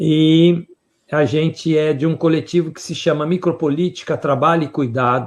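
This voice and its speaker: A man speaks against a quiet background. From Brazil. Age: 70s. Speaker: professor and researcher in public health. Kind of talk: conference lecture. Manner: halting, with fillers.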